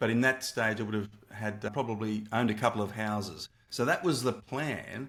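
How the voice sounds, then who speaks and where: The speaker is a man with an Australian accent. He goes at a fairly quick pace with ordinary pitch variation. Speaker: entrepreneur and former math teacher. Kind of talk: interview. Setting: video call. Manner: halting.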